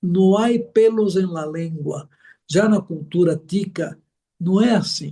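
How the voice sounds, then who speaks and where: Here a man has a high pitch with ordinary pitch variation. His tone is dark and mellow. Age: 70s. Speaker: missionary pastor. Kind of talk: interview.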